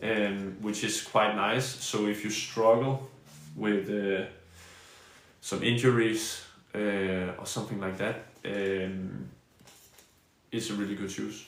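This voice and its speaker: A man with a Danish accent speaks very slowly, with fairly low pitch, fairly even intonation and long, frequent pauses. Noticeable background noise and audible room echo fill the recording. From Denmark. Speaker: badminton player and streamer. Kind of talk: live stream gear review and Q&A. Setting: live stream. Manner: halting, many fillers and restarts.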